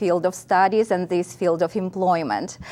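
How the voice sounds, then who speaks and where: Against a quiet background, a woman is talking. She speaks in a Russian accent. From central Russia, Nizhny Novgorod region. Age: 50s. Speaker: college instructor. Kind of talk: interview.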